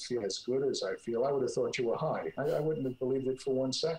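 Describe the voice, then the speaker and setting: A man's medium-pitched voice in an American accent, with ordinary pitch variation and noticeable background noise. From US Northeast, North Jersey. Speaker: clinical psychologist, author. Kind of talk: interview. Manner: halting.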